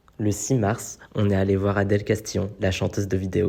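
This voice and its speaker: At a moderate pace, a man speaks in a somewhat breathy, monotone voice with flat intonation. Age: 20s. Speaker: YouTuber / vlogger. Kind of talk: casual vlog talk. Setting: home setup with ring light.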